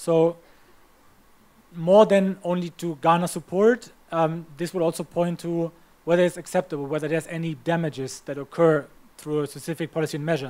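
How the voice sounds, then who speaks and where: Speaking fairly quickly with a German accent, a man uses a high pitch and fairly even intonation. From Germany. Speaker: climate policy trainer. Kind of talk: training lecture. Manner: halting.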